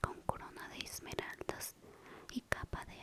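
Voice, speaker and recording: Noticeable background noise sits behind a fairly slow whisper. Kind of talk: whispered ASMR audiobook reading for sleep. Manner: whispered, soft.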